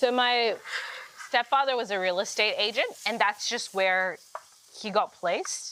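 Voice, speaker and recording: Speaking with an American accent at a fairly slow pace, a woman uses a fairly high pitch with ordinary variation and long, frequent pauses, over noticeable background noise. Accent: Australian with American R. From Uganda, then Queensland, Australia. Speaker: comedian and poet. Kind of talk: casual chat on cooking show.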